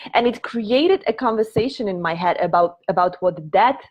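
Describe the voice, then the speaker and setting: A woman with a Polish accent and ordinary pitch variation. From Poland. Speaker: prosperity coach. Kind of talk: live stream teaching talk. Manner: halting.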